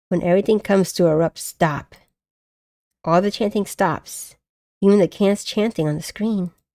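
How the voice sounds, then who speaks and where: With music in the background, a woman speaks at a moderate pace in a medium-pitched voice, the sound dry and close with no echo. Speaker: streamer. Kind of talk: reading aloud game text with casual chat.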